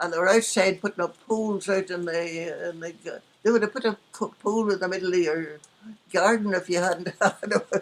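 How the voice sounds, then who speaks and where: In a Northern Irish accent, a woman talks at a medium pitch. Her intonation stays fairly even. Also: moderate pace. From Northern Ireland. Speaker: former radio actress and nurse. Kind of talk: interview answer.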